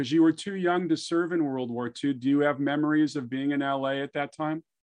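At a fairly quick pace, this is a plain, everyday voice. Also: man. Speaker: podcast host. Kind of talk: interview chat.

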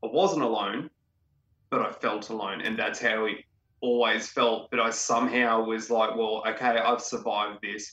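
A man with an Australian accent talks at a medium pitch, his intonation fairly even. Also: moderate pace. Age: 30s. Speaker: interviewee sharing mental health story. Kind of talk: personal testimony in interview.

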